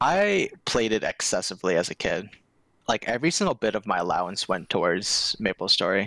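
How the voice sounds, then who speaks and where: In a very clean recording with a silent background, a man talks at a fairly quick pace with very even loudness and a dry, close sound with no echo. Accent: American. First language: Korean. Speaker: Discord server admin. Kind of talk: casual chat.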